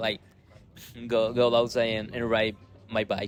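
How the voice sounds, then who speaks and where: A man talks at a medium pitch in a Spanish accent. Music plays in the background. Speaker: rock band musician. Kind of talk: casual interview. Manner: halting, repeating words.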